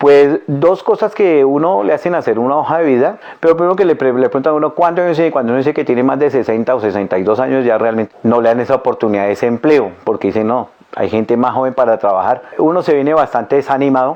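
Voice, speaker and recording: Over music in the background, a man with a medium-pitched voice talks at a very fast pace, his intonation lively and his loudness very even. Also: hardly any pauses. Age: 60s. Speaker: unemployed older worker, interviewee. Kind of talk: testimony.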